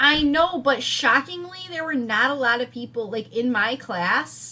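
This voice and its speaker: Noticeable noise sits in the background while the intonation rises and falls in a lively way. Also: woman, high pitch for a woman, fairly slow pace. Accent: American. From Wisconsin. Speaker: podcast co-host. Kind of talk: casual chat.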